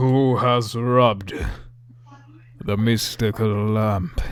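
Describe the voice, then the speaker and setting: A booming put-on character voice. It moves at a very slow pace. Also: man, medium pitch for a man. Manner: commanding, dramatic.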